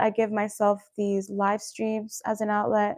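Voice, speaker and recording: The sound is dry and close, with no echo and a quiet background. A woman speaks at a medium pitch. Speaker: wellness coach and livestreamer. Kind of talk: live stream talk to viewers. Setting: live stream. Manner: fast.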